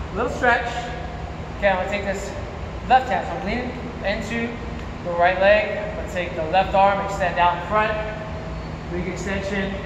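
Long, frequent pauses break up a man's speech at a moderate pace, his intonation fairly even. Audible room echo and noticeable background noise fill the recording. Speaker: fitness instructor. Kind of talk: workout instruction. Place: gym. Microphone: camera far.

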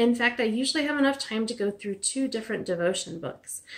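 Ordinary pitch variation runs through the woman's speech. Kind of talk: casual vlog chat. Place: home room. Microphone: phone near.

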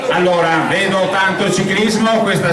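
Amid loud background noise and audible room echo, a man speaks at a fairly slow pace. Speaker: event presenter. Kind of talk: event presentation. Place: hall.

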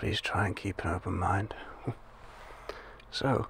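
This is a man's voice. He is whispering. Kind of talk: ASMR role-play. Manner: soft-spoken ASMR agent voice.

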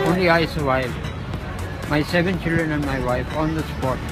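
Clear music sits in the background. A man speaks at a moderate pace. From Lahore, Pakistan. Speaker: street interviewee. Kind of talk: interview answer. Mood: earnest, sad life story. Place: street. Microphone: phone near.

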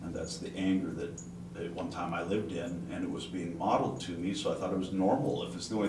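A man speaks at a very fast pace with a very deep, low pitch and ordinary pitch variation. Noticeable background noise runs behind him. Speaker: class participant. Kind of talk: group discussion. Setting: classroom. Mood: reflective, personal. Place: home room. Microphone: camera far.

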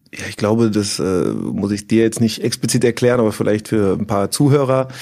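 A man with a dark, mellow tone speaks at a medium pitch with fairly even intonation. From Germany, Bonn (Rhineland). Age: 40s. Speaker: former professional footballer. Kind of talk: casual interview. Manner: hesitant, many fillers.

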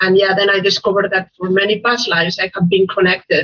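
A woman with a Spanish accent against a quiet background. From Spain. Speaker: life coach. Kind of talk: interview. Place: home room. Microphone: video call.

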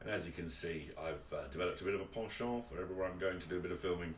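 A speaker with an English accent is heard over light background noise, with audible room echo. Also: man. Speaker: video host. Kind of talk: casual presenting, filming a workshop tour. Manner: animated, chatty. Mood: enthusiastic, admiring. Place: workshop.

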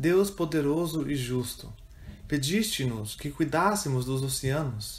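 In a solemn tone, a man with a fairly high pitch speaks very slowly and somewhat breathily, his intonation lively. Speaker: prayer reader. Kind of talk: fervent prayer, read aloud as a communal intercession. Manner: solemn, earnest, slow and reverent, with pleading intensity.

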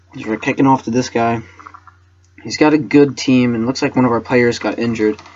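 A moderate pace and fairly even intonation over noticeable background noise. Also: man. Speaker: gaming YouTuber. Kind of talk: gameplay commentary. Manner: casual, many filler words.

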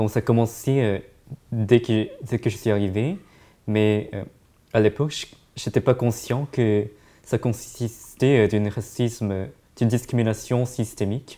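A man's dark, mellow voice at a very slow pace, with fairly even intonation and long, frequent pauses. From East Asia. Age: young. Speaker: student; interviewee. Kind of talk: interview; interview answer. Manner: halting. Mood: calm, reflective. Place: meeting room.

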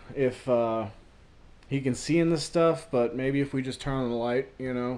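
At a moderate pace, a man is talking. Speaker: vlogger. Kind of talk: casual vlog chat. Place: home room. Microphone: phone near.

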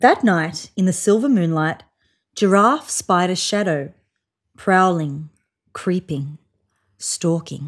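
A woman talks at a slow pace with long, frequent pauses. Her pitch is fairly low, with ordinary pitch variation.

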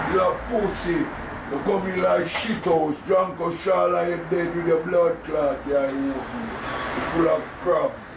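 A man with a Jamaican accent, high-pitched, at a very slow pace with ordinary pitch variation, over noticeable background noise. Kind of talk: heated argument on a bus. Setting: inside a city bus. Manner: angry, shouting.

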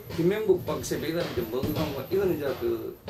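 Light background noise sits behind a man speaking at a moderate pace. His pitch is fairly high and his intonation lively. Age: 60s. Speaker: retired pro boxer and boxing gym owner. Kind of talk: interview. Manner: halting. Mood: nostalgic, animated storytelling. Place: office.

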